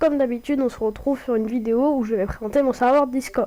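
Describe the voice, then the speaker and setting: A woman speaks very fast at a high pitch. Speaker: gaming YouTuber. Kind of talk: casual tutorial vlog. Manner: hesitant, many fillers.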